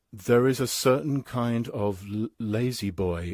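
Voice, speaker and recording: On a very clean recording with a silent background, a man speaks with a British accent. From England. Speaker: philosopher and English professor. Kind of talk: interview conversation. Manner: halting, frequent stammers and self-corrections; animated.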